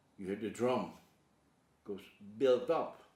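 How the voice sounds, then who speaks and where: A man with a Surinamese accent, fairly slow, with very wide pitch swings. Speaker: painter and artist. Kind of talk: interview monologue. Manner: halting.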